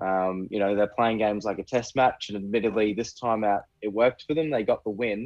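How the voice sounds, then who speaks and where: A man with an Australian accent talks at a fairly low pitch, with fairly even intonation. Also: fairly quick pace, hardly any pauses. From Queensland, Australia. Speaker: rugby fan, podcast guest. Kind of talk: casual chat.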